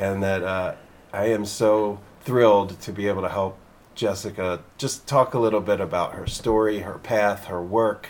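This man speaks with an American accent and a fairly low pitch. His intonation is monotone and flat. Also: moderate pace. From Philadelphia area. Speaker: podcast host. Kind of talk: show intro and outro; casual interview chat. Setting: treehouse studio in the hills.

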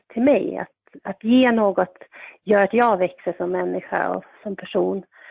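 With a medium pitch, a woman talks at a fairly slow pace. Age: 40s. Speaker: volunteer defence organisation member. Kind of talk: interview. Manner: halting, many fillers.

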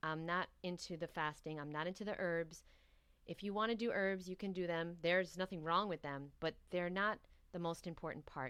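Speaking in a New York accent, a woman keeps a moderate pace. Her pitch is fairly low and her intonation fairly even. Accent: New York American. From New York City. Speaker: raw vegan coach and author. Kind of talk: interview.

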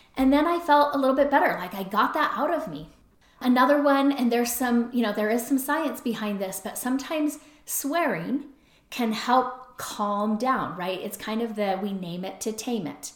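A woman's high-pitched voice with lively intonation at a moderate pace, over noticeable background noise. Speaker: podcast host, recovery and relationships. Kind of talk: solo podcast monologue. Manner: conversational.

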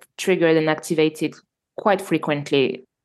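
A woman with a French accent at a moderate pace, her pitch varying in an ordinary way. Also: quiet background. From Normandy, France. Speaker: entrepreneur and filmmaker. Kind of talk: interview conversation. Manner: halting.

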